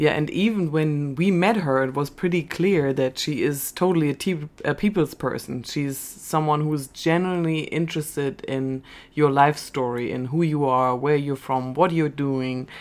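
With hardly any pauses, a woman in a German accent speaks at a moderate pace in a very deep, low pitch with ordinary pitch variation, recorded very cleanly against a silent background. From Germany. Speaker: podcast co-host. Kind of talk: scripted narration.

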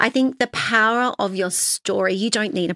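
A woman with an Australian accent and lively intonation, in a dry, close sound with no echo. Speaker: founder and author. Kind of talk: casual interview chat.

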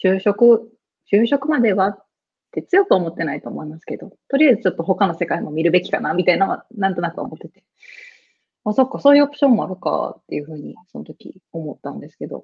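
A somewhat breathy woman speaks at a very fast pace, with very wide pitch swings and big swings in loudness. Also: medium pitch for a woman. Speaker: geisha. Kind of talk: casual interview.

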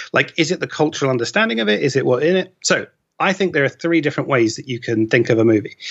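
Using lively intonation, a man speaks at a very fast pace. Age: 30s. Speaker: film data researcher. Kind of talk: casual chat.

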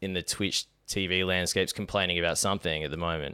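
A man talks with an Australian accent. The recording is very clean, with a silent background. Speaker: podcast host. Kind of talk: casual chat.

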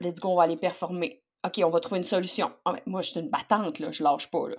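In a very clean recording with a silent background, a woman with an unremarkable speaking voice talks at a moderate pace and a medium pitch. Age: 40s. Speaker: leadership coach. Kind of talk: interview.

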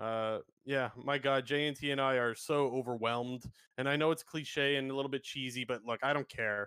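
With a Canadian accent, a man talks at a fairly quick pace in an ordinary speaking voice, keeping a medium pitch and fairly even intonation. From Canada. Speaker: esports podcast host. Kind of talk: casual chat. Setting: live stream.

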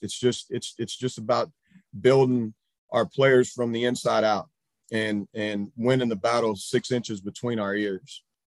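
Speaking at a moderate pace, a man uses an ordinary speaking voice at medium pitch with fairly even intonation. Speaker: high school baseball coach. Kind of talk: presentation. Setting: video call.

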